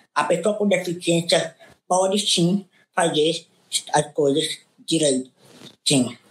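Talking at a fairly slow rate, this man shows ordinary pitch variation. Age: 30s. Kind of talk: online panel debate. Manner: halting.

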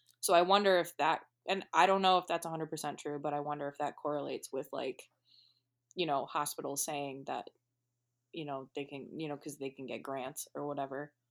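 On a very clean recording with a silent background, a woman with an American accent talks at a fairly quick pace in a very deep, low pitch, her loudness swinging widely. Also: fairly even intonation. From northeast Ohio (Akron area). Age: 20s. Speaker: photographer. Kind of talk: casual chat. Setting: in a car.

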